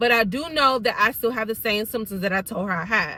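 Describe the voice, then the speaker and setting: A woman speaks loudly and fairly quickly in a fairly high, bright, sharp voice, with an animated tone and lively intonation. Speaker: YouTuber telling a personal story. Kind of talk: storytime monologue.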